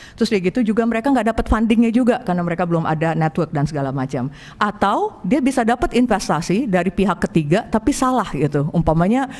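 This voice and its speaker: A woman speaks very fast in a medium-pitched voice with a non-native accent. Her pitch swings very widely, and noticeable noise sits in the background. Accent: non-native Indonesian. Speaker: angel investor. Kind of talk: presentation to an audience. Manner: halting, many fillers.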